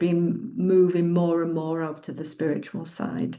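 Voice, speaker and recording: A woman speaks in a fairly low voice with fairly even intonation, and the room echo is audible. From northern England, Doncaster, Yorkshire. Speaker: retreat leader and psychologist. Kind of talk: personal sharing in group circle. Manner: halting.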